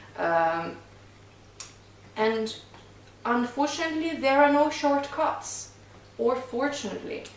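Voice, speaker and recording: In a Russian accent, a woman speaks at a fairly slow pace with long, frequent pauses, a high pitch and very wide pitch swings. Noticeable background noise and audible room echo are present. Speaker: singing coach and touring stage singer. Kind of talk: casual podcast chat.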